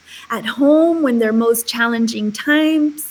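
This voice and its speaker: At a fairly slow pace, a woman with a high pitch and a Spanish accent speaks with ordinary pitch variation over noticeable background noise. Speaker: charity founder. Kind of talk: interview.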